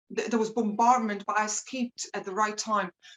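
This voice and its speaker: In a Serbian accent, a woman speaks at a fairly high pitch with monotone, flat intonation. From Serbia, Belgrade. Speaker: rapper and entrepreneur. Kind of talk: interview. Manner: halting.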